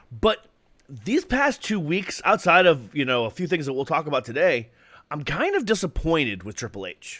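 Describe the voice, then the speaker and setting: At a fairly quick pace, a man with a fairly high pitch, very wide pitch swings, vocal fry and a bright, sharp, animated tone speaks in a very clean recording with a silent background. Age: 40s. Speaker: wrestling podcast co-host. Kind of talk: casual chat.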